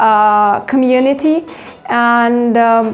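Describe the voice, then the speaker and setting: Noticeable background noise behind a voice with ordinary pitch variation. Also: woman. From Ukraine. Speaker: art teacher. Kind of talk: interview. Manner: hesitant, many fillers.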